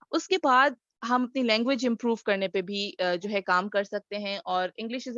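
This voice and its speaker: In a Sindhi accent, a woman with a fairly high pitch speaks at a moderate pace with lively intonation, the sound dry and close with no echo. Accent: Sindhi-accented Urdu. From Sindh, Pakistan. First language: Sindhi (speaking Hindi). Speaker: communication trainer. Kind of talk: webinar talk. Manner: hesitant, frequent fillers.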